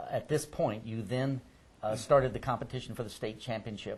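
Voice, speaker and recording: The intonation stays fairly even. The voice is somewhat breathy. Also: man. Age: 60s. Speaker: oral history interviewer. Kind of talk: oral history interview.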